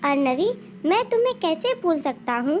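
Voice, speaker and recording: A woman doing a put-on character voice speaks at a moderate pace in a high pitch with very wide pitch swings, over clear background noise. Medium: read story. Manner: dejected, subdued.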